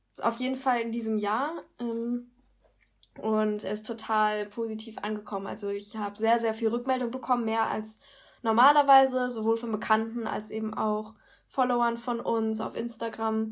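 A woman with a fairly high pitch talks at a moderate pace in a monotone, flat intonation. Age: 20s. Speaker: psychology student and blog co-founder. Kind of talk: casual podcast interview.

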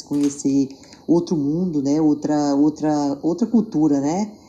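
A woman's very deep, low voice comes through over noticeable background noise. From Tocantins, Brazil. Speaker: makeup artist. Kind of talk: interview.

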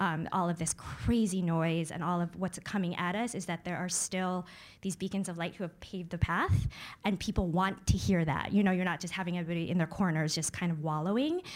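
A woman with an unremarkable speaking voice talks at a fairly quick pace, fairly low in pitch and with fairly even intonation. The recording is very clean with a silent background. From upstate New York. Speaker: magazine editorial director. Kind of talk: live panel discussion. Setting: stage with audience.

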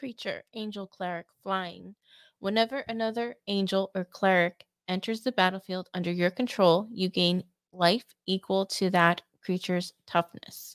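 Recorded very clean with a silent background and a dry, close sound with no echo, a woman uses an ordinary speaking voice at medium pitch, a moderate pace and fairly even intonation. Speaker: co-host reading cards. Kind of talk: reading aloud card text.

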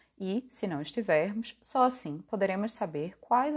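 A woman with an ordinary speaking voice, a fairly slow pace and lively intonation, over a quiet background. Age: 20s. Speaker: podcast host. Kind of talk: reflective monologue.

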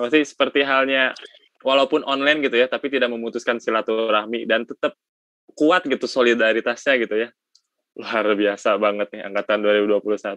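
A man with a West Javanese accent talks at a fairly quick pace in a bright, sharp tone, his medium pitch moving with ordinary variation and his loudness very even, all in a dry, close sound with no echo. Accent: Sundanese. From West Java (Sundanese). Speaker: student podcast host. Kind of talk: casual chat. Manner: animated.

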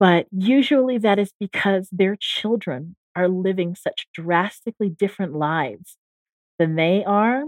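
With lively intonation and a fairly slow pace, a woman uses an ordinary speaking voice at a medium pitch. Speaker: parent. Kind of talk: casual chat.

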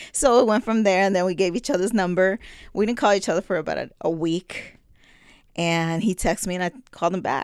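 In a very clean recording with a silent background, a woman with an American accent uses an ordinary speaking voice at a fairly quick pace, with medium pitch and ordinary pitch variation. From New Jersey, Passaic. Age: 50s. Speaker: family member interviewee. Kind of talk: casual interview.

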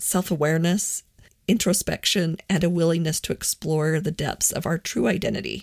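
A woman with an unremarkable speaking voice talks at a moderate pace with fairly low pitch and fairly even intonation, in a very clean recording with a silent background and a dry, close sound free of echo. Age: 40s. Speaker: podcast host on personal growth. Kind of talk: solo monologue podcast.

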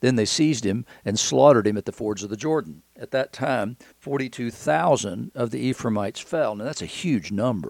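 This man talks at a moderate pace with lively intonation and a medium pitch. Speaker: podcast host and Bible teacher. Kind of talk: devotional Bible teaching. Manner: halting, conversational with fillers.

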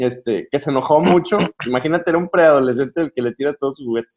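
In a southern Mexican accent, a man talks at a fairly quick pace, recorded with a dry, close sound and no echo. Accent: sing-song southern Mexican. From southern Mexico, provinces. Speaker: pastor and podcast host. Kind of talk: casual chat.

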